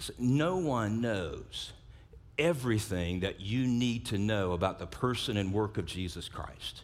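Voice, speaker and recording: A man with a South Louisiana accent, fairly low in pitch, with lively intonation at a fairly slow pace, in audible room echo. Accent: South Louisiana Southern US. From US South, South Louisiana. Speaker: pastor. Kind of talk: sermon. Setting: church service. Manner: repeats first sounds of words.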